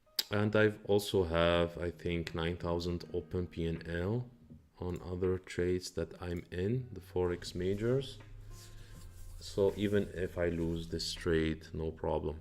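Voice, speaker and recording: With music in the background, a man with a non-native accent speaks fairly slowly in a very deep, low voice and ordinary pitch variation. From Morocco. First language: not English. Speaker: day trader. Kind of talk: live trading stream commentary. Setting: live stream. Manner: halting.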